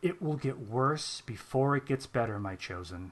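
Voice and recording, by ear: Using a put-on character voice, a man speaks at a moderate pace and medium pitch with lively intonation.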